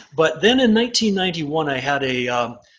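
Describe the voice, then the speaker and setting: Bright and sharp in tone, the speech unfolds at a moderate pace. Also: man. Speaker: estate litigation lawyer. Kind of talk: interview. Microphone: faint, distorted.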